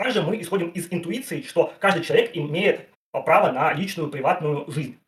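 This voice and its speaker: This is a man's voice. His pitch is high. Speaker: philosophy PhD student and channel author. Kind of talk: casual philosophical discussion on a livestream. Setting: online livestream. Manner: fast.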